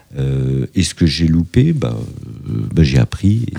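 With noticeable background noise behind him, a man with a very deep, low pitch speaks with lively intonation. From France, Paris suburbs (Fontenay-sous-Bois). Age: 50s. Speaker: entrepreneur. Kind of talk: interview. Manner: hesitant, many fillers.

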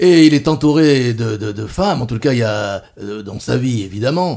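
A man speaks at a medium pitch and moderate pace, his tone dark and mellow and his pitch varying in an ordinary way. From France, Bordeaux. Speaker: radio host. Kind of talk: radio interview. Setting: studio.

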